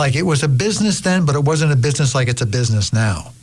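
His medium-pitched voice is somewhat breathy. The man's intonation is lively. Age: 60s. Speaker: radio co-host. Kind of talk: casual chat. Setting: studio. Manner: laughs often.

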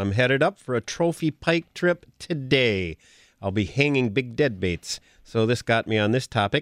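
A man with an American accent, dry and close with no echo, on a very clean recording with a silent background. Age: old. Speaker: outdoors radio co-host and teacher. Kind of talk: casual chat. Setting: studio.

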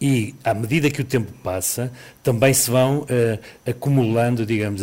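A man's plain, everyday voice at a moderate pace, with fairly even intonation. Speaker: epidemiologist. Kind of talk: expert radio interview. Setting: live remote interview.

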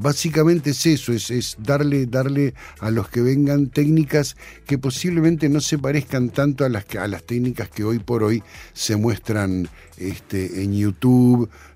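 Dark, mellow tone from a man at medium pitch, fairly slow, with ordinary pitch variation. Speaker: sound engineer and music producer. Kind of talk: casual interview chat.

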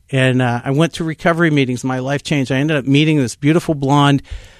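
In a plain, everyday voice, someone talks at a fairly quick pace with fairly even intonation, the sound dry and close with no echo and the background quiet. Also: man. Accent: American. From Pittsburgh area, Pennsylvania. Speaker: pastor. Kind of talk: testimony.

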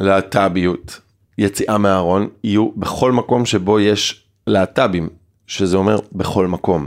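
A man talks at a very slow pace in a fairly low pitch. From Israel, kibbutz in the north. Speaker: LGBT youth organization director. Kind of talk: casual chat.

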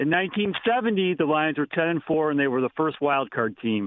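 This man's voice sits fairly high in pitch. It swings very widely up and down. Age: 60s. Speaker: caller. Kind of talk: call-in chat. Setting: phone call.

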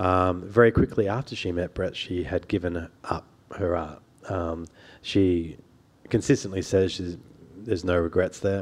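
Fairly even in intonation, a man with an Australian accent speaks at a moderate pace in a very deep, low pitch, leaving long, frequent pauses. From Sydney, Australia (lower North Shore). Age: 40. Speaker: journalist and author. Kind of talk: public interview. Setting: stage with audience.

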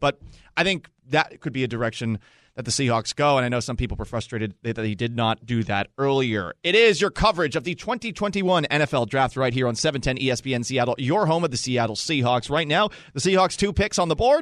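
Energetic and very fast, a man at a medium pitch uses lively intonation in a dry, close sound with no echo. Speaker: radio host. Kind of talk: live radio draft coverage with host banter. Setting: radio studio. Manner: loud, bantering, energetic.

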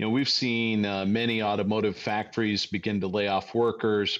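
With an American accent, this man talks at a moderate pace in fairly low pitch, an ordinary speaking voice over a quiet background. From Ohio, Toledo. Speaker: financial advisor. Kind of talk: radio talk show discussion. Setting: studio.

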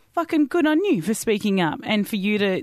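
Speaking fairly quickly with an Australian accent, a woman keeps an animated tone. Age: 30s. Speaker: podcast host. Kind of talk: casual chat. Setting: studio.

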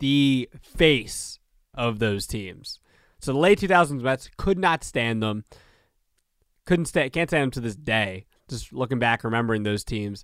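An ordinary speaking voice moves at a fairly slow pace with lively intonation, in a very clean recording with a silent background and a dry, close sound with no echo. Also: man, medium pitch for a man. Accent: American. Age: 20s. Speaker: sports podcast host. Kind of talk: solo sports commentary podcast.

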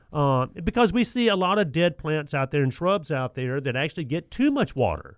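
A man talks at a fairly quick pace with hardly any pauses. His fairly high voice has lively intonation. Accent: Southern US. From US South. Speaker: radio host, garden center manager. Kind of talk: call-in radio chat.

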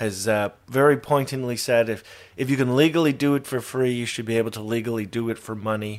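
In a very clean recording with a silent background, a man with a normal speaking voice talks at a moderate pace and a medium pitch. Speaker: radio co-host. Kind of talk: casual chat. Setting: at home.

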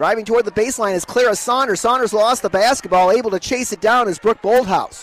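A man's high-pitched voice at a very fast pace, with hardly any pauses, over noticeable background noise. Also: ordinary pitch variation. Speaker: radio sports play-by-play announcer. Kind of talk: live play-by-play radio commentary, rapid ball-by-ball calls of a girls basketball game; radio broadcast, pregame intro and ads. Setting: courtside at a high school gym, broadcast on local radio.

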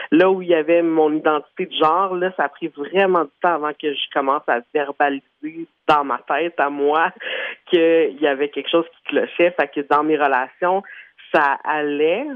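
A man in a plain, everyday voice speaks fairly slowly, his fairly high pitch held to a fairly even intonation. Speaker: radio host. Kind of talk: interview.

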